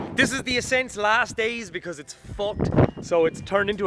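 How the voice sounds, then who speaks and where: With music playing behind him, a man talks at a moderate pace in a high pitch, using lively intonation and a strong Irish accent. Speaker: car enthusiast. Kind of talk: casual talk to camera.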